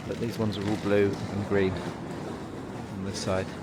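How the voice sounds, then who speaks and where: Soft-spoken and fairly low-pitched, a man comes through noticeable background noise and audible room echo. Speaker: travel vlogger. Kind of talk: walking vlog narration. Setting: outdoors, walking streets. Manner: hesitant, many fillers.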